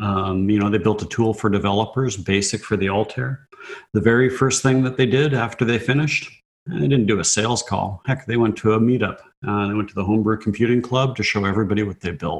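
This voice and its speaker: A man with a Canadian Prairies accent, talking at a very fast pace. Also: fairly low pitch for a man, ordinary pitch variation. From Canada, southern Saskatchewan. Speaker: tech executive. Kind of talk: interview.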